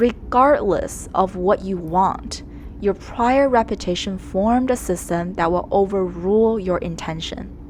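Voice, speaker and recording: A woman talks at a fairly slow pace in a Chinese accent. Noticeable background noise can be heard. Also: medium pitch for a woman, ordinary pitch variation. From China, moved to Canada around age ten. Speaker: art YouTuber. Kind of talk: scripted narration.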